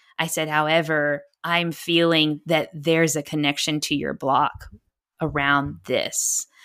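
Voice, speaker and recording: Fairly slow and monotone, a woman with an American accent speaks in a very deep, low pitch with a bright, sharp tone, in a very clean recording with a silent background. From Texas. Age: 30s. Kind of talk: interview conversation.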